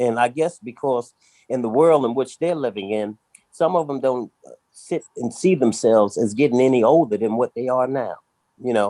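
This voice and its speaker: A dark, mellow tone with ordinary pitch variation and a dry, close sound with no echo. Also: man, medium pitch for a man, moderate pace. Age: 60s. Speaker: panelist on men's discussion show. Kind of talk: casual discussion.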